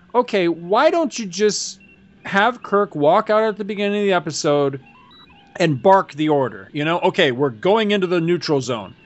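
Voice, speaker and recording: Over music in the background, a man speaks at a high pitch with lively intonation and an animated tone. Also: moderate pace. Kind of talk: casual banter. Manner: animated, joking.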